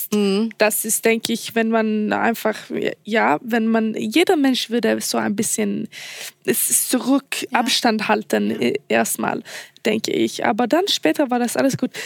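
A woman with a Swedish accent talks at a fairly slow pace with very even loudness. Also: dry, close sound with no echo. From Sweden. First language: Swedish (speaking German). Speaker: model contestant. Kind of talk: casual chat. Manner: halting, searching for words.

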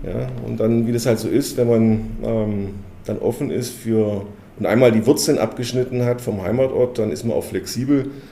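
Against noticeable background noise, a man with a medium pitch talks at a moderate pace in fairly even intonation. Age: 50s. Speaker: company executive. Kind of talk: interview. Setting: company headquarters.

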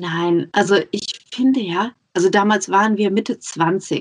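At a fairly slow pace, a woman talks in a medium pitch with ordinary pitch variation. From Germany, Ruhr area. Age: 30s. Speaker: podcaster and mother. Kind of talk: casual interview. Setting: Skype call.

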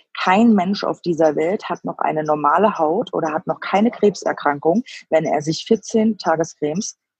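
This woman has a fairly low pitch. She speaks at a moderate pace. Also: dry, close sound with no echo. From Frankfurt am Main, Germany. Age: 30s. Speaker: cosmetics product tester. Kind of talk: interview. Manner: halting, many fillers.

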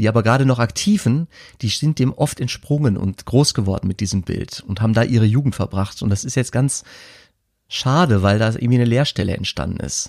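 A man with a plain, everyday voice talks at a fairly quick pace, medium in pitch with ordinary pitch variation, the sound dry and close with no echo on a very clean recording with a silent background. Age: 30s. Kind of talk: casual chat.

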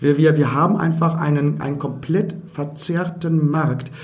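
Over noticeable background noise and audible room echo, a man speaks in a fairly high voice. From Germany, Emsland (Lower Saxony). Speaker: comedian and theatre director. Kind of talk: casual chat. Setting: wine cellar of a pub.

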